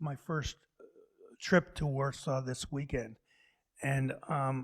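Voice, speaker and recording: Speaking with an American accent, a man talks fairly slowly in a fairly high, somewhat breathy voice. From US. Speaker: urban planner, visiting professor. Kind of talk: lecture Q&A answer. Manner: halting, many false starts.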